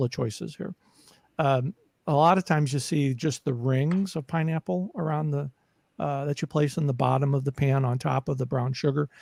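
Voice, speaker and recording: A man speaks at a fairly high pitch in a somewhat breathy voice. The sound is dry and close with no echo, very clean against a silent background. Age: 60s. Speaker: caregiving advocate and podcaster. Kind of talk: casual interview chat. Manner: halting, many fillers and repetitions.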